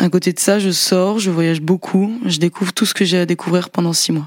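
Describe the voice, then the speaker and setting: This woman has an unremarkable speaking voice, fairly low in pitch. She keeps a moderate pace and fairly even intonation. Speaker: podcast storyteller. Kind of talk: personal testimony.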